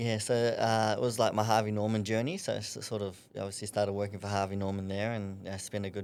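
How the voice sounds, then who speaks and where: On a very clean recording with a silent background, a man in a New Zealand accent speaks at a fairly quick pace, his fairly low voice monotone and flat. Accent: New Zealand twang. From New Zealand, Napier. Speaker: amateur boxer. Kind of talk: podcast interview.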